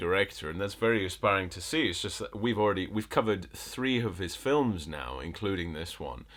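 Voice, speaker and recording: A man speaks at a fairly quick pace with a slight northern English accent and a fairly low pitch. His intonation is lively, and he hardly pauses at all. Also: big swings in loudness. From northern England, Bolton. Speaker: film critic podcast host. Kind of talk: casual chat.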